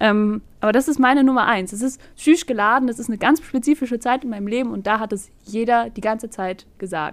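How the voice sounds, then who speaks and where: With a normal speaking voice, a woman talks at a fairly quick pace and fairly high pitch, using ordinary pitch variation and hardly any pauses. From northern Germany. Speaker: podcast co-host. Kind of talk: casual chat.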